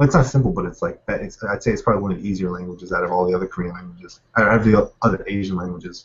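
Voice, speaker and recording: Somewhat breathy, a man with an American accent talks very fast with hardly any pauses. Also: fairly low pitch for a man, ordinary pitch variation. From Pennsylvania, US. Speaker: guest interviewee. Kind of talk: casual chat. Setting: video call. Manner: casual, many fillers.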